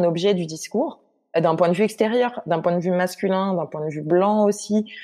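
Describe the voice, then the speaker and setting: With a normal speaking voice, the talker moves at a moderate pace and shows ordinary pitch variation. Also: woman. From Guadeloupe. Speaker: literature researcher. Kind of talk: casual interview.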